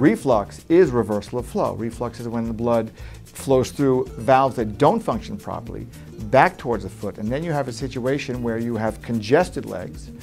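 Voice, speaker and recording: Over music in the background, a man with an American accent talks at a moderate pace, his medium pitch carried by lively intonation. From New York. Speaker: vein surgeon. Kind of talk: interview answer.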